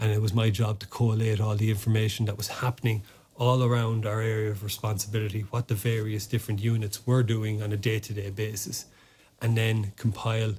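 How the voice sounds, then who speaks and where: A fairly quick, somewhat breathy male voice with an Irish accent, fairly low in pitch and flat, monotone in intonation. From Ireland. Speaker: former army officer and sports administrator. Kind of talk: podcast interview. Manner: halting, many repetitions and fillers.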